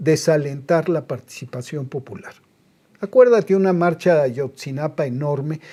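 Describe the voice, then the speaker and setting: A somewhat breathy man's voice, fairly high in pitch with a dark, mellow tone, at a moderate pace on a very clean recording with a silent background. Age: 70s. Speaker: TV producer and political commentator. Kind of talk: interview. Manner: animated.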